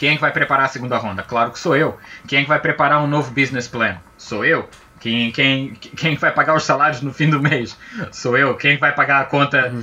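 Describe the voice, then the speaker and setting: A man's fairly even intonation is heard over noticeable background noise. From Azores and Brazil. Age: 40s. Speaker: game studio project manager. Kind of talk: casual interview chat.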